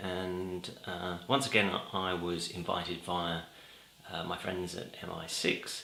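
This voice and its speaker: There is audible room echo and noticeable background noise. A man is the one speaking. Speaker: film blogger. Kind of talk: casual vlog monologue. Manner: hesitant, many fillers.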